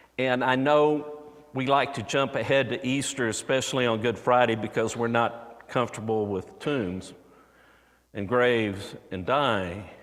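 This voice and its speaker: Audible room echo surrounds a man speaking at a fairly slow pace and medium pitch with ordinary pitch variation. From Texas, Houston. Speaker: preacher. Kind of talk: sermon.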